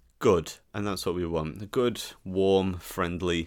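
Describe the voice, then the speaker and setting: On a very clean recording with a silent background, a man talks at a very slow pace in a very deep, low pitch. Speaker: podcast host. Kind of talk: casual banter.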